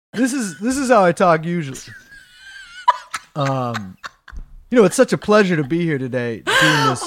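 This put-on character voice sits at a middle pitch and has a nasal sound, with very wide pitch swings. It moves at a fairly slow pace with long, frequent pauses. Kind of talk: stage voice. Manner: annoying, overly enthusiastic.

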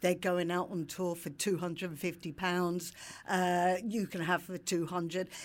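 A woman with a London accent speaks at a moderate pace. Her fairly low voice has monotone, flat intonation. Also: very clean recording, silent background. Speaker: PR agency founder. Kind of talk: casual chat.

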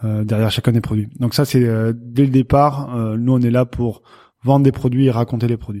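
The recording is very clean, with a silent background. A man with a dark, mellow tone and medium pitch speaks in a flat monotone at a moderate pace. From southwest France, Béarn near Pau. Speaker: cheese company founder. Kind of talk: interview. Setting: company premises.

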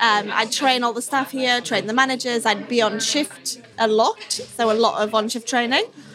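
Noticeable background noise sits behind a woman with a high voice. She speaks at a moderate pace with ordinary pitch variation. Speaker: restaurant front of house manager. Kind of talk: casual interview. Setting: busy restaurant. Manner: talkative.

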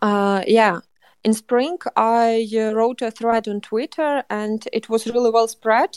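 A woman with a fairly high pitch speaks at a very slow pace with fairly even intonation. The sound is dry and close, with no echo. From western Ukraine, Lviv. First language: Ukrainian. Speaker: journalist and culture manager. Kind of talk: interview. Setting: remote call from Ukraine. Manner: halting.

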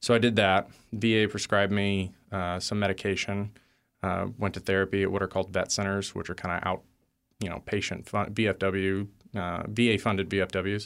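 A man with an American accent speaks at a fairly quick pace and fairly low pitch in monotone, flat intonation, on a very clean recording with a silent background. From Texas. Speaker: Marine veteran and advocacy director. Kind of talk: interview.

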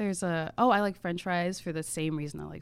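This woman has a plain, everyday voice and an American accent, with a fairly low pitch and ordinary pitch variation. She talks at a fairly quick pace on a very clean recording with a silent background. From Maryland, near Washington DC. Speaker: food writer and podcast host. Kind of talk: casual interview chat.

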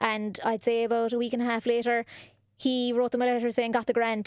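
A woman with a Cork accent speaks at a very fast pace. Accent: Cork Irish. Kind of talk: casual chat. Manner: animated.

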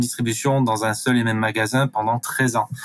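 This man talks at a fairly slow pace with a medium pitch. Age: 30s. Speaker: reiki practitioner and community manager. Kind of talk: testimony. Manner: hesitant, repeating words.

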